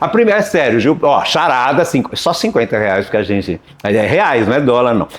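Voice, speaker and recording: A man talks at a medium pitch and a moderate pace, his loudness very even but his pitch swinging very widely. Noticeable background noise runs underneath. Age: 60s. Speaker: video rental shop owner. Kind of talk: casual interview chat. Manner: halting, with false starts.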